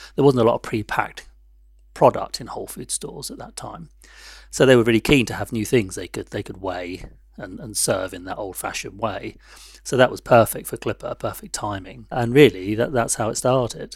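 A man with a London accent speaks at a fairly quick pace in a somewhat breathy, medium-pitched voice with ordinary pitch variation. His loudness swings widely. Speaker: tea company founder. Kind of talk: interview.

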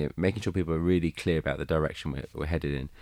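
A man talks at a very fast pace in a very deep, low pitch with vocal fry and ordinary pitch variation. The recording is very clean, with a silent background. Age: 40s. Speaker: business chief executive. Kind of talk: panel interview.

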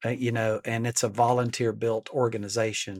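On a very clean recording with a silent background and a dry, close sound with no echo, a man speaks at a moderate pace and medium pitch with an Alabama accent. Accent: US Southern (Alabama). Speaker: leadership coach and company founder. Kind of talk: casual interview.

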